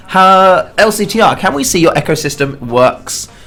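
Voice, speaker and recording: A man with lively intonation, music in the background. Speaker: game developer streamer. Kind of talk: live game stream chat. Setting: live stream. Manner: casual, hesitant with fillers.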